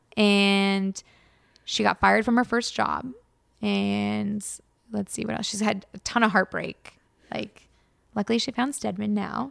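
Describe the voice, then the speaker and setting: A woman talks at a fairly slow pace with long, frequent pauses. The recording is very clean, with a silent background and a dry, close sound with no echo. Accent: Californian. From Los Angeles, US. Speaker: YouTuber, former games journalist. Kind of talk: casual interview chat.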